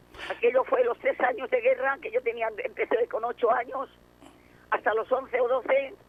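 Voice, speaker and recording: This woman has a high-pitched voice and talks at a moderate pace. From Barcelona, Spain. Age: 80s+. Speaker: war survivor. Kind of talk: testimony.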